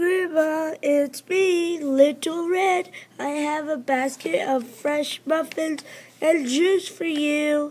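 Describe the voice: A squeaky, put-on character voice moves at a very slow pace. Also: woman, high pitch for a woman.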